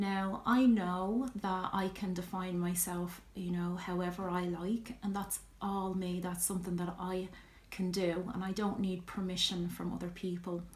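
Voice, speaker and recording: A woman with a strong Irish accent, medium pitch, monotone and flat intonation, fairly slow pace, audible room echo. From Ireland. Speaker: vlogger. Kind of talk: personal vlog talk, answering questions. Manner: hesitant, many fillers.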